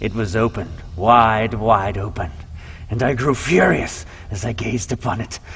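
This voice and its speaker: Over noticeable background noise, a man speaks fairly slowly at a fairly low pitch. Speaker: voice actor. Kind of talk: horror story narration.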